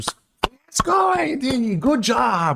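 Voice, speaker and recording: A man puts on a character voice, pitched high for a man, with very wide pitch swings. The sound is dry and close, with no echo. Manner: upbeat, cheering.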